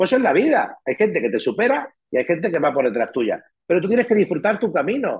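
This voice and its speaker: A man talks at a fairly quick pace in a high pitch that swings very widely. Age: 50s. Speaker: real estate manager and writer. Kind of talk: interview.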